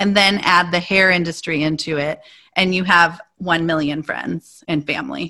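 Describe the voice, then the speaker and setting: A woman with an American accent, fairly low in pitch, her tone bright and sharp, her intonation fairly even, at a moderate pace. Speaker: hairstylist and podcast host. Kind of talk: casual interview.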